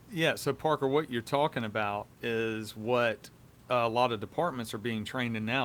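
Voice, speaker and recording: Speaking with a Southern US accent, a man uses a medium pitch, ordinary pitch variation and a moderate pace. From US South. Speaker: police officer, podcast host. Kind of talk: casual chat.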